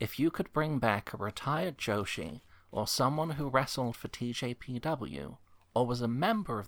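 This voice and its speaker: A man with an American accent speaks at a fairly slow pace in a plain, everyday voice. His pitch is medium and his intonation is lively. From Chicago, with high school in Scotland. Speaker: podcast host. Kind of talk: casual chat.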